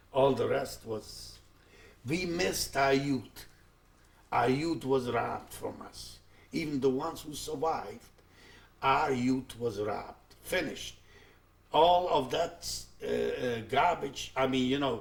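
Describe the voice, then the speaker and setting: A man with a non-native accent speaks very slowly at a fairly high pitch, somewhat breathy, with ordinary pitch variation, long, frequent pauses and audible room echo. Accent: foreign. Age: 70s. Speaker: Holocaust survivor. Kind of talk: testimony. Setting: recorded interview. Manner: halting.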